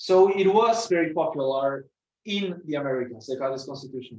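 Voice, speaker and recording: With a Spanish accent, a man talks with lively intonation. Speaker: student presenter. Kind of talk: lecture. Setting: presentation to an audience. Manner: halting, with many fillers and repetitions.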